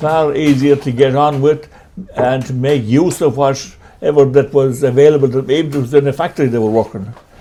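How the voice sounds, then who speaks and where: With a western Irish accent, a man of fairly high pitch speaks at a moderate pace with ordinary pitch variation amid noticeable background noise. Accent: rural west of Ireland. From Ireland, County Mayo. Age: 80s+. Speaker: retired men's shed member. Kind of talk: interview.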